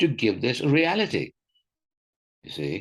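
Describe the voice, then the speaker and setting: Against a quiet background, a man of medium pitch talks at a moderate pace with vocal fry. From Sri Lanka. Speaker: environmental activist. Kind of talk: interview. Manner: halting, many repetitions.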